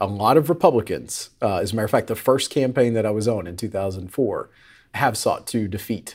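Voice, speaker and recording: An unremarkable speaking voice with an American accent moves at a fairly quick pace, with ordinary pitch variation. The recording is very clean and the background silent. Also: man. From Tennessee and Florida. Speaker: political strategist. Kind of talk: roundtable discussion.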